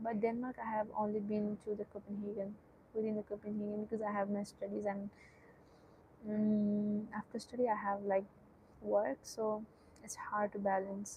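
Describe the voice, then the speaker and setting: A woman with a Nepali accent speaks at a moderate pace with medium pitch. Her intonation is monotone and flat, with long, frequent pauses. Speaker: student streamer. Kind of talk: casual live-stream chat. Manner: hesitant, with many fillers.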